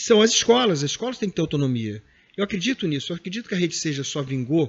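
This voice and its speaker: A man talks in a high register, his intonation lively. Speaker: professor, former head of a distance-learning foundation. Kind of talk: interview. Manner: fast.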